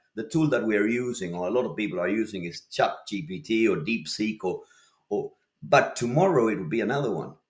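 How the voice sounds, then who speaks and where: The delivery comes at a fairly quick pace with lively intonation. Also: man. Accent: Spanish. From Argentina, Buenos Aires. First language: Spanish. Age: 50s. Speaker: lighting designer. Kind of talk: interview conversation. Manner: repetitive, halting restarts.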